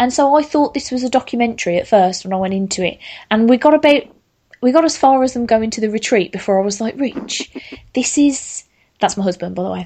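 The speaker talks very fast with lively intonation. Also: woman, fairly high pitch for a woman. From Birmingham, England. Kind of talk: casual chat.

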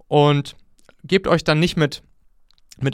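A man with a fairly high pitch speaks in a very clean recording with a silent background. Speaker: startup founder and podcast host. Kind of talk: talk to an audience. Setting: school with audience. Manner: gets louder and higher when excited; animated.

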